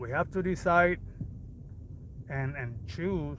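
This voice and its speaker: Speaking with a Puerto Rican accent, a man uses a high pitch and ordinary pitch variation. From Puerto Rico. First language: Spanish. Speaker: fitness coach. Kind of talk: livestream motivational talk. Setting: livestream.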